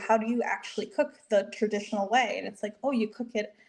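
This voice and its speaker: Speaking at a fairly quick pace, a woman uses a fairly high pitch and fairly even intonation. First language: Spanish. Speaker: registered dietitian. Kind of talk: podcast interview.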